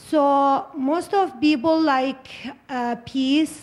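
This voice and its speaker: This woman talks at a very slow pace. Her high voice shows ordinary pitch variation. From Iraq. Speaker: refugee panelist. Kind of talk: panel discussion. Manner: halting.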